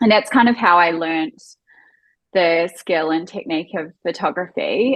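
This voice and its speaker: Speaking fairly slowly in a New Zealand accent, a woman uses a fairly low pitch with ordinary pitch variation. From New Zealand, Auckland. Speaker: wedding photographer. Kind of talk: podcast interview.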